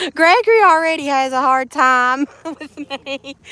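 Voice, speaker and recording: A woman speaks with a Southern US accent. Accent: US South. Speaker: live streamer. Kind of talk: casual chat. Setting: live stream.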